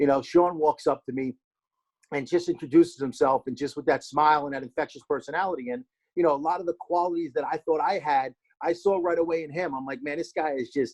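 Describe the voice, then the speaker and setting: Talking at a very fast pace, a man uses a New Jersey accent and a fairly high pitch. His pitch varies in an ordinary way, and the sound is dry and close with no echo. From New Jersey, Hackensack. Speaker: former pro baseball player. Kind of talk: casual podcast interview.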